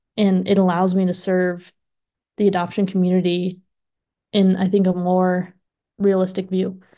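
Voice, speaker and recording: Over a quiet background, a woman at medium pitch speaks in a dark, mellow tone at a moderate pace with very even loudness, monotone, flat intonation and long, frequent pauses. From adopted from Russia as infant. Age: 20s. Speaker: music teacher. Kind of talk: podcast interview.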